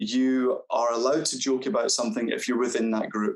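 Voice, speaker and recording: Lively in intonation, a man with a strong Scottish accent talks at a medium pitch and a fairly quick pace. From Scotland. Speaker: carer. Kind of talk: panel discussion.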